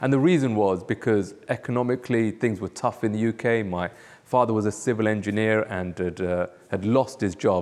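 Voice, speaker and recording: With a London accent, a man speaks at a fairly quick pace, his fairly low pitch showing ordinary pitch variation. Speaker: pastor. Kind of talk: testimony interview. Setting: church. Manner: hesitant, with fillers.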